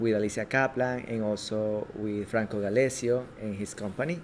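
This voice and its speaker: A man with a Spanish accent, fairly low in pitch, at a moderate pace with ordinary pitch variation. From Ecuador. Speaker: filmmaker and actor. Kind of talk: interview. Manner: halting.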